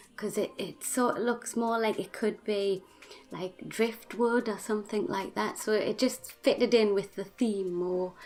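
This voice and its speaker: Over background music, a woman with a Geordie accent speaks fairly slowly at a fairly high pitch with fairly even intonation. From northern England, Newcastle (Geordie). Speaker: gaming YouTuber. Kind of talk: voice-over tutorial. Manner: halting, many fillers.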